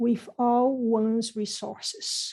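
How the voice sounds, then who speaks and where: Against a quiet background, a woman with a non-native accent speaks at a fairly high pitch with a dark, mellow tone. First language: not English. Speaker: renal pathologist, professor. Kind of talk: lecture.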